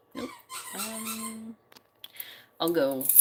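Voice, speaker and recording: Over noticeable background noise, a woman's voice makes very wide pitch swings. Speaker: lifestyle livestreamer. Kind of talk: casual chat. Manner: animated.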